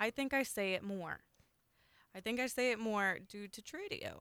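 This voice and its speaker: With a Southern US accent, a woman speaks at a fairly high pitch in a bright, sharp tone with ordinary pitch variation. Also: dry, close sound with no echo. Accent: Southern US (Oklahoma). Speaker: radio host. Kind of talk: call-in radio show. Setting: studio. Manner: friendly.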